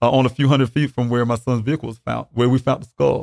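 Very clean and silent in the background, the recording has a dry, close sound with no echo as a man speaks at a medium pitch with fairly even intonation. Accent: South Carolina. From US South, Columbia, South Carolina. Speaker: father of a missing man, military veteran. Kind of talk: interview about a missing son. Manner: halting, many fillers.

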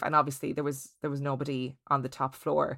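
With an Irish Midlands accent, a woman talks at a very fast pace on a very clean recording with a silent background. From Ireland, County Laois. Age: 30s. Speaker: podcast host and theatre performer. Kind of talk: casual interview storytelling.

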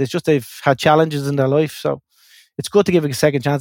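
Someone with a Dublin accent talks at a very fast pace on a very clean recording with a silent background and a dry, close sound with no echo. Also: man. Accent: Dublin Irish. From Dublin, Ireland. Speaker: electrical contractor, company founder. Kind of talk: interview. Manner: halting, repeats words.

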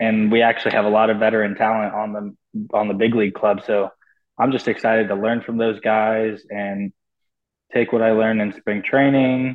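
A man with a Californian accent speaks in a fairly low pitch, his intonation monotone and flat. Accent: Californian American. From US West Coast, Los Angeles (Pasadena). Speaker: professional baseball player. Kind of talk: interview.

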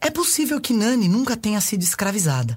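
A woman's somewhat breathy voice moves at a moderate pace. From Brazil. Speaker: actress and storyteller. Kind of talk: reading aloud.

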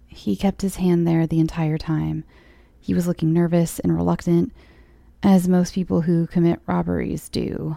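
The recording is very clean, with a silent background. A woman with an American accent talks at a moderate pace. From California. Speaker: horror story podcast host. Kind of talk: casual storytelling read-aloud. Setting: home recording in apartment.

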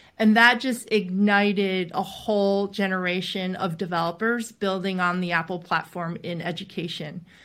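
A woman with an American accent has an ordinary speaking voice at a medium pitch, talking at a moderate pace with fairly even intonation and hardly any pauses, in a very clean recording with a silent background. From US East Coast. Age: 40s. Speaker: venture capitalist. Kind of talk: interview.

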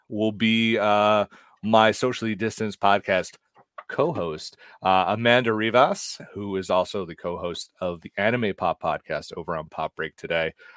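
A plain, everyday voice from a man, fairly low in pitch, at a fairly slow pace, with big swings in loudness and a dry, close sound with no echo. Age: 40s. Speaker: pop culture editor and podcaster. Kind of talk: casual chat. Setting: video call.

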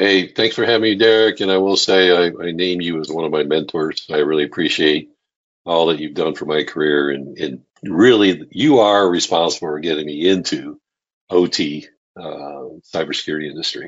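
A man's very deep, low, resonant voice with ordinary pitch variation. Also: moderate pace. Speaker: podcast guest.

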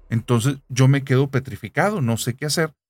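A man with an ordinary speaking voice keeps to a moderate pace. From Monterrey, northern Mexico. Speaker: podcast narrator. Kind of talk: casual chat with storytelling.

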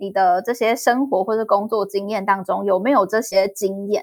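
Speaking at a moderate pace, a woman has a Taiwanese accent. The recording is very clean, with a silent background. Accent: Taiwanese Mandarin. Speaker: podcast host. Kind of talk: interview.

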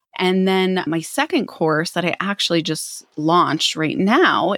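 A woman speaks in an ordinary speaking voice with a fairly low pitch and ordinary pitch variation. The recording is very clean, with a silent background. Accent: American. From Philadelphia area, US, raised abroad (London, Canada) and Minneapolis. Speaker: psychic medium and spiritual teacher. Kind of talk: interview.

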